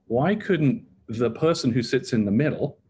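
A somewhat breathy man's voice, dark and mellow, at medium pitch against a quiet background. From England, near London. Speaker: healthcare technology entrepreneur. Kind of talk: casual interview.

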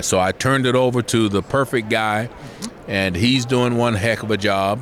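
A man's voice amid noticeable background noise. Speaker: former football player and broadcaster. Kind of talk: casual interview.

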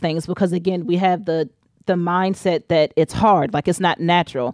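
Speaking in an ordinary speaking voice with an American accent, a woman keeps a fairly low pitch and fairly even intonation, the sound dry and close with no echo. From Richmond, Virginia, US. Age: 30s. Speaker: doula and breastfeeding support moderator. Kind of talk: casual interview chat. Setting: podcast recording.

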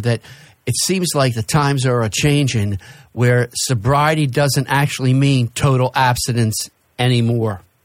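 Captured in a very clean recording with a silent background, a man with an American accent uses an ordinary speaking voice at medium pitch with fairly even intonation. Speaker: radio host. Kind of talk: casual radio talk. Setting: studio.

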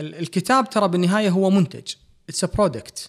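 A man speaks at a moderate pace. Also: very clean recording, silent background. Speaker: physician and author. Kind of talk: interview conversation.

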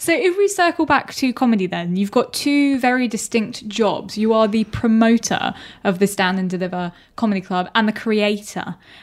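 An ordinary speaking voice from a woman, fairly high in pitch, with lively intonation and moderate pace. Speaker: interviewer, girlfriend of the host. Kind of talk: casual interview.

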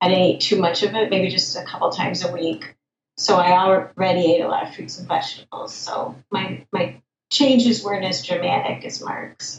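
A woman with an American accent has an unremarkable speaking voice, medium pitch, ordinary pitch variation, a moderate pace and big swings in loudness. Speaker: plant-based diet advocate. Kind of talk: interview.

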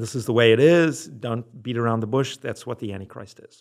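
A man with a Southern African accent talks at a medium pitch with ordinary pitch variation, recorded very cleanly against a silent background. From Zimbabwe and South Africa. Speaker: religion professor. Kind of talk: interview.

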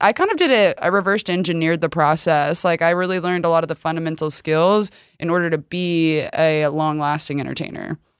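With an American accent, a woman talks at a fairly quick pace in a fairly low pitch, using a plain, everyday voice. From Texas, rural area near Rockwall. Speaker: content creator. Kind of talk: casual chat. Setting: studio.

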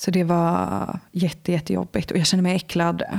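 On a very clean recording with a silent background, a woman speaks at a fairly slow pace in a fairly low pitch. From Swedish west coast, Lysekil. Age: 20s. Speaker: interview guest sharing life story. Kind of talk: personal testimony interview. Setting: indoor room with host.

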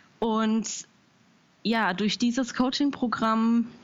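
Somewhat breathy, this voice proceeds at a very slow pace. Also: woman. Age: 30s. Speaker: small business founder. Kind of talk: interview. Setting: Skype call. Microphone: possible crackle and hiss on Skype line.

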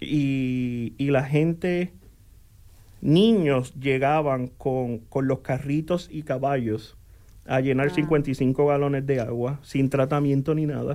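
Very slow and with fairly even intonation, a man speaks at a fairly high pitch in a dark, mellow tone. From Puerto Rico, Coamo. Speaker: utilities operations manager. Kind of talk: radio interview. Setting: radio studio.

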